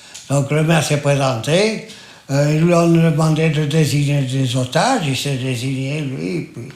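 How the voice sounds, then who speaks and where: There is noticeable background noise as a man speaks very slowly at a fairly high pitch. His pitch varies in an ordinary way. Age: 80s+. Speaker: massacre survivor, witness. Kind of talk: interview answer.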